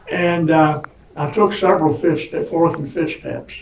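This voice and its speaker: With noticeable background noise and audible room echo, a man with an American accent talks at a moderate pace in a fairly high voice with ordinary pitch variation. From Indiana. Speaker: recovering alcoholic telling his story. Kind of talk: personal testimony. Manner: loud; halting, repeats words.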